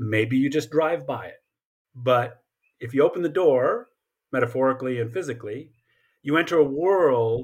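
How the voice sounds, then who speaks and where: A man with an American accent, an ordinary speaking voice, medium pitch, ordinary pitch variation and a moderate pace, in a very clean recording with a silent background. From Colorado Springs, US (military family, partly Japan). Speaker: history professor. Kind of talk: interview.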